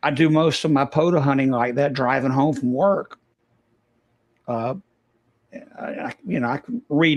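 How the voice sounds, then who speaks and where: A man with a Southern US accent talks at a moderate pace in a fairly high pitch. His intonation is fairly even, and the sound is dry and close with no echo. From US South. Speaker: ham radio operator. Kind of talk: casual chat.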